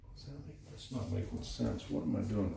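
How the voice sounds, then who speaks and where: Mumbling at a moderate pace, a man with a very deep, low voice swings very widely in pitch, amid audible room echo and noticeable background noise. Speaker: painter. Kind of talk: tutorial.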